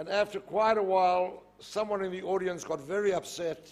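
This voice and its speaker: Pitched high, a man talks with a South African accent. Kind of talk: public lecture. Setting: stage with audience.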